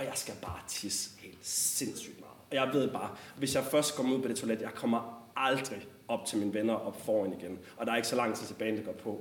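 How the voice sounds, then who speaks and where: A man talks at a moderate pace with ordinary pitch variation, with audible room echo and noticeable background noise around him. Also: medium pitch for a man. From West Jutland, Denmark (Struer). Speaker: storyteller. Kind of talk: personal storytelling.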